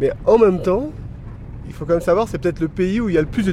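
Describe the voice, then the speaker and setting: Noticeable background noise fills the clip. A man talks, his pitch varying in an ordinary way. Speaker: interviewee, traveler to Afghanistan. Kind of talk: casual interview. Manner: hesitant, filler words.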